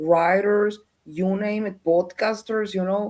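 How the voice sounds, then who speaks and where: A woman with a Spanish accent speaks very slowly in a dark, mellow tone, with medium pitch and fairly even intonation. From Colombia. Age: 50s. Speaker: researcher and former journalist. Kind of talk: interview. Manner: halting.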